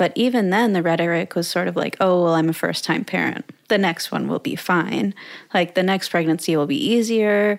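With a plain, everyday voice, a woman speaks at a medium pitch with ordinary pitch variation and very even loudness. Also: moderate pace. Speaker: podcast host and content creator. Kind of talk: casual interview chat.

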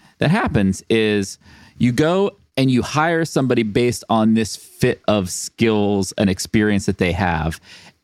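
Animated in tone, a man of medium pitch talks at a fairly slow pace with lively intonation and very even loudness, the sound dry and close with no echo. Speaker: podcast co-host. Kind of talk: casual chat.

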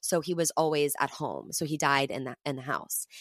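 A woman with a very deep, low pitch speaks in an animated tone at a fairly quick pace, in a very clean recording with a silent background and a dry, close sound with no echo. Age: 30s. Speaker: actress and comedic performer. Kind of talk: casual chat.

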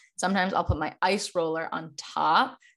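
A woman speaks with an American accent. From Chicago. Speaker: holistic nutritionist and wellness creator. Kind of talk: casual chat.

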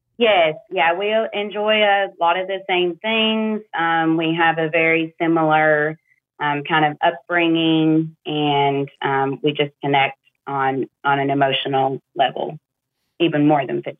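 A woman talks at a fairly slow pace with a fairly low pitch and ordinary pitch variation. She has an ordinary speaking voice. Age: 30s. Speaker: caller seeking dating advice. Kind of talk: casual chat. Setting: phone call.

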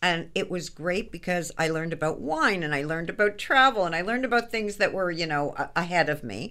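A woman with a Canadian accent talks at a fairly quick pace with lively intonation and hardly any pauses. Her tone is bright and sharp, on a very clean recording with a silent background. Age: 60s. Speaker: fashion business consultant. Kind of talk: radio interview.

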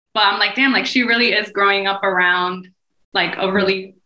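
With an American accent, a woman talks at a moderate pace in an ordinary speaking voice, her intonation fairly even. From New Jersey, US. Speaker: podcast co-host and mom. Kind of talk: casual chat.

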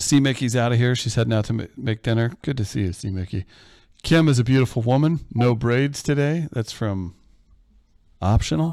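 A man's dark, mellow voice with lively intonation. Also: medium pitch for a man, moderate pace. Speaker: producer and moderator reading audience questions. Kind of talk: casual live chat. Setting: video call, live stream.

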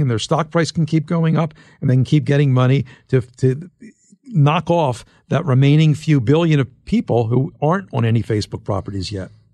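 Speaking with an American accent, a man has a fairly high pitch, a dark, mellow tone, lively intonation and a somewhat breathy sound. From US Northeast, Philadelphia. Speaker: tech journalist and author. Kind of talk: interview.

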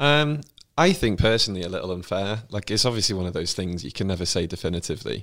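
In a very clean recording with a silent background, a man speaks with a British accent. His pitch is fairly low, his intonation lively, and his pace very fast. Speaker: royal expert. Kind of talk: casual chat.

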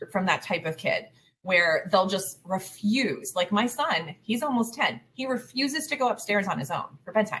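A woman with a plain, everyday voice, fairly high in pitch, lively in intonation, at a moderate pace. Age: 40s. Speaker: life coach for highly sensitive families. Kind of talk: interview.

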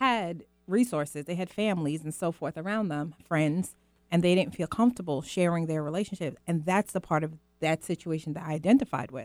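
A woman with an American accent and a normal speaking voice talks at a fairly quick pace, fairly low in pitch, with ordinary pitch variation. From Guyana, raised in the US from age five. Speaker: mother, guest. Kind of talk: casual chat.

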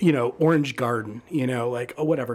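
Against noticeable background noise, a man with an American accent talks at a fairly quick pace. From Michigan, suburban Detroit. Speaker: food writer and critic. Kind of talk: casual interview.

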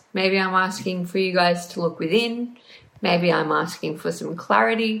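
Over noticeable background noise, a woman with an Australian accent speaks at a medium pitch and a moderate pace. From Australia, Newcastle NSW. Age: 20s. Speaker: listener submitting a question. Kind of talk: recorded listener question.

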